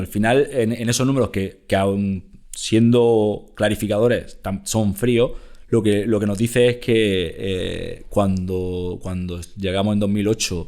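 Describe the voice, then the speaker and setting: A man with an Andalusian accent, fairly low in pitch, at a very slow pace with fairly even intonation. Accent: Almería. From Almería, southern Spain. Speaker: company executive. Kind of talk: interview. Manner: halting, many repetitions.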